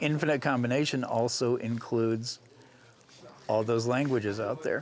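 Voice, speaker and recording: A man with an American accent, medium pitch and fairly even intonation, over noticeable background noise. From US South. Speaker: fan and book reviewer. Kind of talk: panel discussion. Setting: convention.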